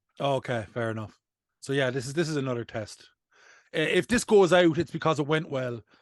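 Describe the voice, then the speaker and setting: A man with a Cork accent talks very fast with ordinary pitch variation, the sound dry and close with no echo against a quiet background. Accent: Irish (Cork). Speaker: podcast host, comedian. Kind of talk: casual chat.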